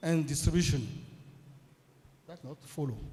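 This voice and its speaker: A man with a Beninese accent. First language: French. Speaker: food technologist. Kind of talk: conference presentation. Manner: halting.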